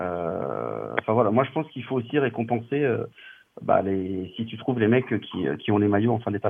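A man with an ordinary speaking voice talks at a medium pitch and a moderate pace, with ordinary pitch variation. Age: 40s. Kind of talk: casual chat.

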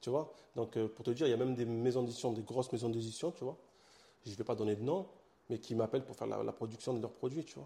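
Very fast and somewhat breathy, a man with a Marseille accent speaks in a dark, mellow tone at medium pitch with ordinary pitch variation. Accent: Marseille accent, singsong. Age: young. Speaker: comic book author and publisher. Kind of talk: interview. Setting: his own studio.

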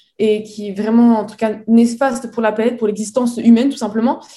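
The voice is somewhat breathy with a dark, mellow tone. Its intonation stays fairly even at a fairly quick pace. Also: woman. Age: 20s. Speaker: entrepreneur. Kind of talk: interview. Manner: halting.

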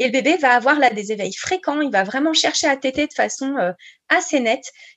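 A woman talks at a fairly quick pace. Her voice is high-pitched. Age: 30s. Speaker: breastfeeding counselor and speech therapist. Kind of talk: interview.

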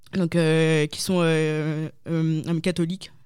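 A dark, mellow tone in a very clean recording with a silent background. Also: woman. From northern France, Lille. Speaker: convert giving faith testimony. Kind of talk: testimony. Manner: halting, many hesitations.

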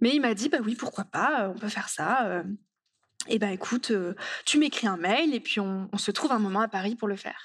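In a very clean recording with a silent background, a woman with a plain, everyday voice talks at a moderate pace and fairly high pitch. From rural France. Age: 20s. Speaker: author and speaker. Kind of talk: conference talk.

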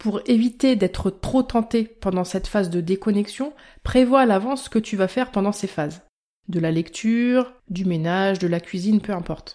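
A woman speaks at a medium pitch with a dark, mellow tone. The recording is very clean, with a silent background. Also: ordinary pitch variation, moderate pace. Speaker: health podcaster and blogger. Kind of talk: scripted podcast monologue.

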